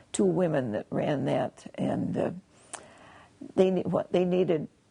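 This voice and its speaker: This is a woman speaking with an Upper Midwest accent. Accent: Upper Midwest American. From Wisconsin. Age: 80s+. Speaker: retired kindergarten teacher. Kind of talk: interview answer.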